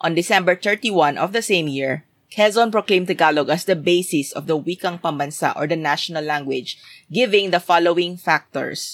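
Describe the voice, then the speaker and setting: In a dry, close recording with no echo, a woman with a fairly low pitch speaks at a fairly quick pace with ordinary pitch variation. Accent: Filipino. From Philippines (Visayas). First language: Bisaya (Cebuano). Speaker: podcast co-host. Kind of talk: casual chat.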